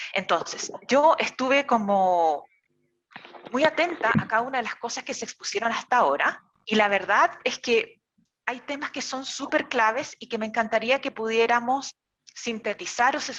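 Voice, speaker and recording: With a Chilean accent, a woman speaks at a moderate pace in a fairly high pitch, her intonation lively and her loudness swinging widely. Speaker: therapist and course teacher. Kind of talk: online lecture.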